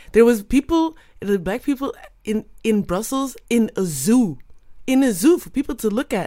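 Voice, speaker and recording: A high-pitched woman's voice with a dark, mellow tone. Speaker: podcast co-host. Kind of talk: interview chat.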